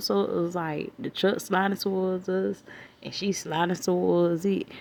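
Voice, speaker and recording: Fairly slow speech from a woman at a medium pitch, noticeable background noise behind it. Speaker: vlogger. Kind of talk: casual vlog storytelling. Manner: hesitant, many fillers.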